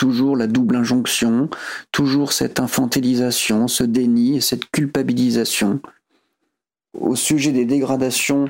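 A man's voice at medium pitch, fairly slow pace and fairly even intonation, in a very clean recording with a silent background. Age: 40s. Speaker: home care aide. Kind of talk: personal audio diary.

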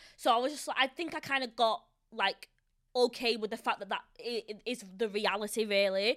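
With an unremarkable speaking voice, a woman talks at a moderate pace and a fairly high pitch. Her pitch varies in an ordinary way, and the sound is dry and close with no echo. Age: 20s. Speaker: podcast host. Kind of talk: casual chat.

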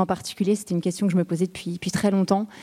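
On a very clean recording with a silent background, a woman speaks at medium pitch in a dark, mellow tone. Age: 40s. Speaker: startup co-founder. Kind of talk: interview.

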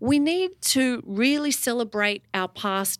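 On a very clean recording with a silent background, a woman with an Australian accent speaks with ordinary pitch variation in a dry, close sound with no echo. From Melbourne, Australia. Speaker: music broadcaster. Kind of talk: casual conversation interview. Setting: live recording before an audience.

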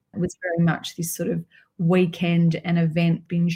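A woman talks with an Australian accent at fairly low pitch. Her voice is somewhat breathy, with monotone, flat intonation. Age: 50s. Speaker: alcohol mindset coach. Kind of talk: podcast interview.

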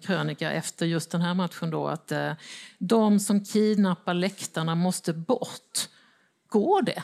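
On a very clean recording with a silent background, a woman with a plain, everyday voice speaks fairly slowly at a fairly low pitch. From Småland, Sweden (Växjö). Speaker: newspaper editor and panel moderator. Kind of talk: moderated panel discussion. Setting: stage with audience.

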